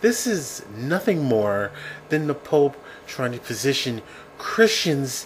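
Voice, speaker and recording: A man speaks over noticeable background noise. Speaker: atheist commentator vlogger. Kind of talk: opinion commentary to camera. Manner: slight stammer.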